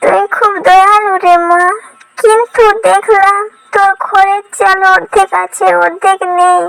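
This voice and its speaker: In a cartoonish character voice, a woman speaks at an extremely high pitch and a fairly slow pace, with fairly even intonation and a dry, close sound with no echo. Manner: gentle, affectionate.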